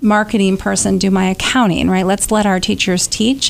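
A woman with an American accent speaks at a moderate pace and a medium pitch. Her intonation stays flat and monotone. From rural North Carolina. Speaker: education advocacy nonprofit leader. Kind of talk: radio interview.

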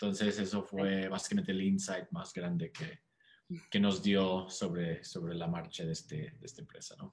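A man talks in a normal speaking voice with a fairly low pitch and ordinary pitch variation. His pace is moderate, with big swings in loudness. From United States. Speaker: startup co-founder and CEO. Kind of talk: interview.

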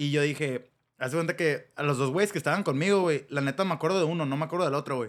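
Talking very fast, this man has a fairly high voice. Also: ordinary pitch variation. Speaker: podcast host. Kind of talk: casual chat. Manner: animated.

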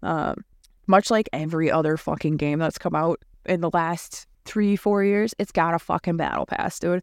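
A woman with an ordinary speaking voice, fairly low in pitch with fairly even intonation, at a moderate pace, on a very clean recording with a silent background and a dry, close sound with no echo. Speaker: gaming podcast host. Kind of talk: casual chat, gaming news. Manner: casual, rambling, filler words.

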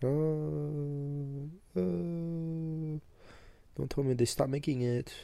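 Speaking at a very slow pace, a man has a dark, mellow tone. His pitch varies in an ordinary way. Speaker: podcast co-host. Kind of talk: casual chat. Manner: casual, joking.

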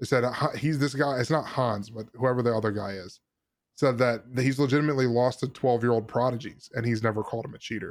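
The man's intonation is fairly flat. He rattles through his words very quickly. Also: medium pitch for a man. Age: 20s. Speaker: gaming podcast host. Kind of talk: casual chat.

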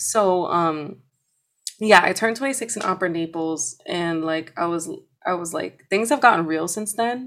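A woman with a New York accent, medium pitch, lively intonation, and a moderate pace. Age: 20s. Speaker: opera singer and voice teacher. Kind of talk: casual interview chat.

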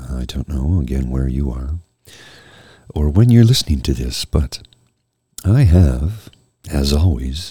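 A man speaks at a fairly slow pace in a very deep, low voice with a dark, mellow, somewhat breathy tone. His intonation is lively, and he leaves long, frequent pauses. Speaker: podcast host presenting jazz music. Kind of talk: casual monologue.

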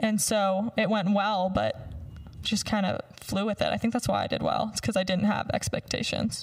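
With an American accent, a woman speaks at a moderate pace and very even loudness. Noticeable background noise sits behind her. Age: 20s. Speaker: former beauty pageant winner. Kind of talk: casual chat. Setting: studio.

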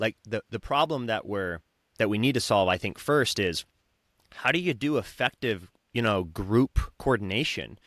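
Speaking at a moderate pace with an American accent, a man uses lively intonation and a fairly low pitch, recorded very cleanly against a silent background. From southern Utah, US. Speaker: wellness center founder. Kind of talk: interview conversation. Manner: halting, many repetitions.

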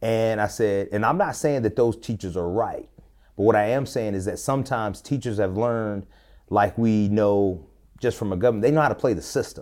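A man with an American accent talks in an ordinary speaking voice at a fairly low pitch, using ordinary pitch variation at a fairly quick pace. The recording is very clean, with a silent background. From Tennessee and Georgia, US South. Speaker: pastor, educator and coach. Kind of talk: casual interview conversation.

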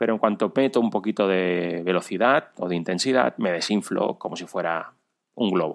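A man speaks at a moderate pace with a very deep, low pitch. His pitch varies in an ordinary way. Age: 40s. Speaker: amateur runner and cyclist. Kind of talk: recorded personal story.

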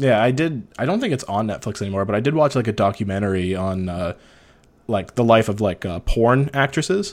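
A man with a Canadian accent and a normal speaking voice talks at a fairly quick pace with lively intonation, on a very clean recording with a silent background. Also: medium pitch for a man. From northern Ontario, Canada. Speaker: podcast host. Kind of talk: casual interview chat.

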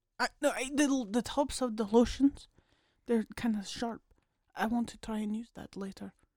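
Fairly high in pitch, a woman with an ordinary speaking voice talks at a moderate pace with fairly even intonation and a dry, close sound with no echo. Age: 20s. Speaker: podcast co-host. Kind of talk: casual chat.

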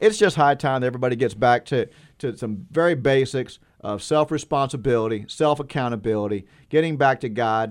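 A man's ordinary speaking voice, medium in pitch with ordinary pitch variation, at a fairly quick pace. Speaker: caller. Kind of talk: call-in talk radio.

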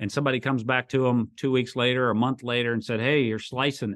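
Speaking at a fairly quick pace, a man has a medium pitch. His is an ordinary speaking voice. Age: 50s. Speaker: construction company CEO. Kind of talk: interview.

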